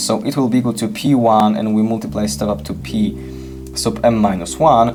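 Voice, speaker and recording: A man's pitch swings very widely. Music plays in the background, and the room echo is audible. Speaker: math olympiad teacher. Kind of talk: lecture. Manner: halting.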